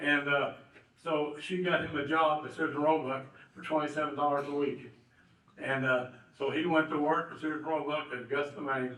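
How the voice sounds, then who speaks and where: With an American accent, a man talks at a moderate pace in a fairly high pitch and a monotone, flat intonation, amid noticeable background noise and audible room echo. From southern Indiana. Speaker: local businessman and honoree. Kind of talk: banquet speech. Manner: halting, many fillers.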